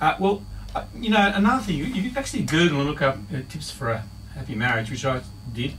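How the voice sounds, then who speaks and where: Speaking at a very fast pace with an Australian accent, a man uses a fairly high pitch with very wide pitch swings. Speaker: marriage counsellor. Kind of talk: radio interview answer.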